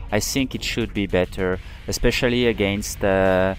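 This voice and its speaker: There is music in the background as a man speaks. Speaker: video game player. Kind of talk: gameplay commentary.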